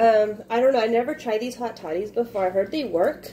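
Lively intonation marks this woman's speech at a moderate pace. Light background noise is present. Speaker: vlogger. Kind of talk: casual vlog chat. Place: kitchen. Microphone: phone near.

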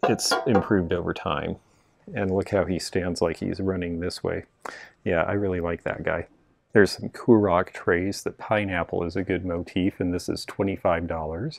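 The man's voice is very deep and low, moving at a moderate pace. The background is quiet and the sound is dry with no echo. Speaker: vintage reseller. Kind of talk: casual shopping vlog commentary. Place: shop. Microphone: phone near.

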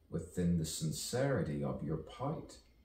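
Using a very deep, low pitch and an animated, theatrical tone, a man speaks at a fairly slow pace with ordinary pitch variation, with audible room echo and light background noise. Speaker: performer of own play. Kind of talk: spoken word poetry, a rhythmic rhyming soliloquy. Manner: animated, theatrical and dreamy, with rhyme, repetition and sudden pauses; slow, drawn-out, musing delivery in places. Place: home room.

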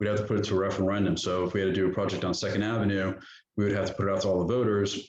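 At a very fast pace, a man speaks in a fairly low pitch with monotone, flat intonation and very even loudness, with audible room echo. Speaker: town manager. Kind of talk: budget presentation at council workshop. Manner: hesitant fillers.

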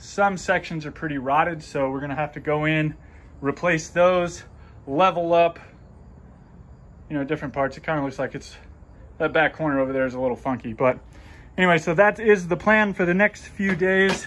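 Here a man speaks fairly quickly. Ordinary variation runs through his pitch. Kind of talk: casual vlog chat. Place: home room. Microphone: phone near.

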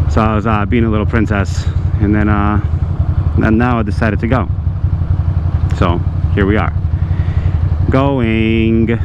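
A man speaks at a moderate pace with long, frequent pauses. Noticeable background noise runs underneath. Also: dry sound with no echo. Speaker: motorcycle vlogger. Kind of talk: casual vlog chat. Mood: relaxed, slightly impatient. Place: motorbike.

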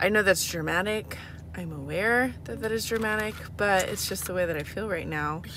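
The speech moves at a fairly slow pace. The sound is dry with no echo, and background noise is noticeable. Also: woman. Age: 20s. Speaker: vlogger and single mother, hospital nurse. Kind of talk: casual vlog talk to camera. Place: car. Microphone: phone near.

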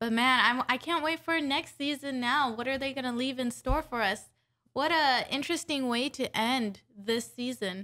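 A woman speaks in a raised, projected voice, high in pitch with a bright, sharp tone. Her pace is moderate, and the background is quiet. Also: ordinary pitch variation. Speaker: anime reaction youtuber. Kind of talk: casual chat. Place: home room. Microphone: studio mic.

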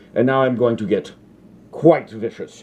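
A man is speaking here. His tone is dark and mellow. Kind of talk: comedic cooking tutorial in character. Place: kitchen. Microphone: phone near.

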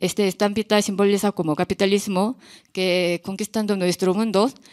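The speaker has a Korean accent and a moderate pace. The background is quiet. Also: woman. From South Korea, small town. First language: Korean (speaking Spanish). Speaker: visual artist; artist on a panel. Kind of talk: artist talk. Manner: halting, non-native phrasing. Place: hall. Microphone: podium.

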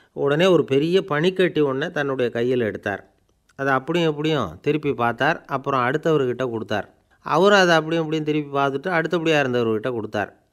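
A man's voice, with ordinary pitch variation, comes through against a quiet background. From Tamil Nadu. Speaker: radio presenter. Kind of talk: radio talk with anecdote. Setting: radio studio. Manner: colloquial, storytelling. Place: studio.

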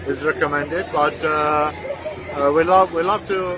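A man's voice, dry with no echo, over clear music in the background. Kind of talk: interview answer. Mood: friendly, welcoming. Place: street. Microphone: phone near.

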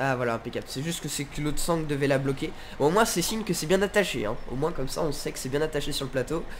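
A man's fairly high voice with ordinary pitch variation moves at a very fast pace. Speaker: gaming YouTuber. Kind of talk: casual gameplay commentary. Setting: home recording, gameplay video. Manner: casual, chatty, friendly.

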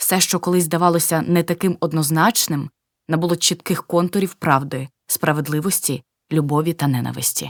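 A woman with a very deep, low pitch speaks with fairly even intonation and very even loudness, in a dry, close sound with no echo. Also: moderate pace. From eastern Ukraine, Luhansk. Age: 60s. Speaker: war refugee, pensioner. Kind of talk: testimony.

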